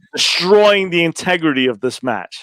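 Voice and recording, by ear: A man speaks at a moderate pace with lively intonation, a fairly high pitch and a fairly bright tone, in a dry, close sound with no echo.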